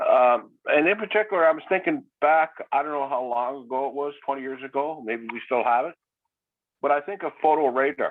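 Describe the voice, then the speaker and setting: A man's fairly high voice in a Canadian accent, fairly quick, with ordinary pitch variation. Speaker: local resident. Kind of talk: community meeting comment. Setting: video call. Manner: fast.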